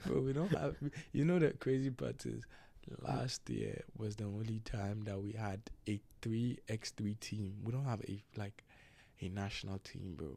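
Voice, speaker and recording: The voice has a dark, mellow tone and lively intonation. It moves at a fairly slow pace. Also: man, fairly low pitch for a man. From Ghana. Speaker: basketball player. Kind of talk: casual chat.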